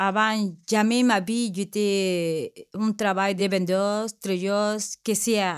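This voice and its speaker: A woman with a Spanish accent, medium pitch, very slow pace and flat, monotone intonation, on a very clean recording with a silent background. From Peru. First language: Spanish (speaking French). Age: 50s. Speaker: job training participant. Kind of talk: testimony. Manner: halting.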